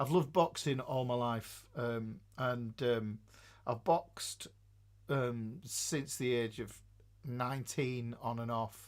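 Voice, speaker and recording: A man with an English accent speaks at a very slow pace on a very clean recording with a silent background. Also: medium pitch for a man, ordinary pitch variation. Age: 50s. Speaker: live streamer. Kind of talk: casual live stream chat. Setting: live stream. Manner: halting, many fillers.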